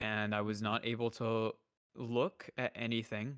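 A man's unremarkable speaking voice at medium pitch with fairly even intonation, dry and close with no echo, in a very clean recording with a silent background. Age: 20s. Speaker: streamer, podcast guest. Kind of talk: casual chat.

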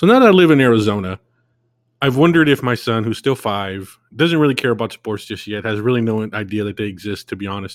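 Over a very clean recording with a silent background, a man with a medium pitch talks at a very fast pace with lively intonation. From California. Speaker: podcast host. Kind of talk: solo monologue podcast.

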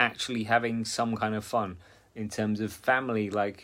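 In a very clean recording with a silent background, a man speaks at medium pitch with monotone, flat intonation. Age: 40s. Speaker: fitness coach. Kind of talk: motivational talk. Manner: casual, filler-heavy.

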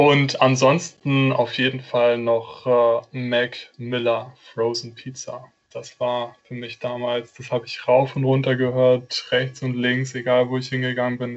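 A man with a medium-pitched voice talks at a fairly slow pace, barely pausing. His intonation stays monotone and flat. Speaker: marketing apprentice. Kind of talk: casual chat.

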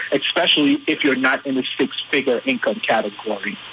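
A man talks fairly quickly with noticeable noise behind him. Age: 30s. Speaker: financial literacy coach and reverend. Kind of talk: interview.

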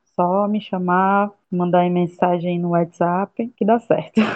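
A woman talks at a medium pitch. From Ceará, Brazil (Camocim). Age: 30s. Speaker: agronomy student and activist. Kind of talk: interview. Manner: halting.

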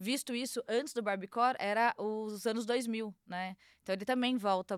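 Her voice is fairly high, with ordinary pitch variation and a moderate pace, an ordinary speaking voice. The recording of this woman is very clean with a silent background and a dry, close sound with no echo. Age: 30s. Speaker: fashion agency founder. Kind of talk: casual chat.

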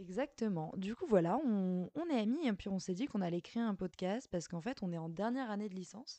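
A woman with a dark, mellow tone talks at a fairly quick pace, with lively intonation and hardly any pauses. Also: medium pitch for a woman. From Paris, France. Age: 20s. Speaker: university student, podcast co-host. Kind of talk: casual chat.

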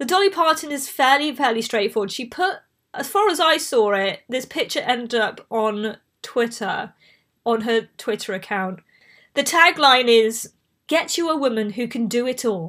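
A woman with a Bristol accent speaks at a moderate pace in a high, bright and sharp voice with very wide pitch swings. The recording is very clean, with a silent background. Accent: Bristolian English accent, mild. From southwest England. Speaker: podcast host. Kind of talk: casual chat. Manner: chatty, prone to tangents.

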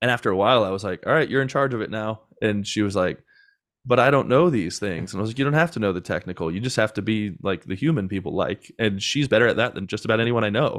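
A man speaks with a fairly low pitch. His pace is very fast. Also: ordinary pitch variation. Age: 30s. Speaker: podcast agency founder. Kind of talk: casual interview chat.

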